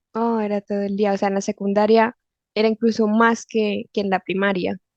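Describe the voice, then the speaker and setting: With monotone, flat intonation, a woman speaks at a moderate pace and medium pitch against a quiet background, the sound dry and close with no echo. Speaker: Spanish teacher. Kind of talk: interview questions.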